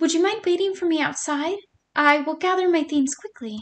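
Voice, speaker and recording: A woman does a put-on character voice, squeaky and at an extremely high pitch. She keeps a moderate pace. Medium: read story. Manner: formal, courtly.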